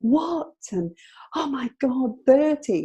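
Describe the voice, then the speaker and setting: A woman's voice in a northern English accent, with very wide pitch swings. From northern England. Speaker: midlife strategist. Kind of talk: interview chat. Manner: halting, with fillers.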